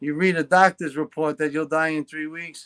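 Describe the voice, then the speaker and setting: A man with a New York accent and a fairly high pitch at a moderate pace, on a very clean recording with a silent background. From New York, Long Island. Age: 40s. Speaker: guest with Parkinson's disease. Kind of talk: casual interview chat. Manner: animated.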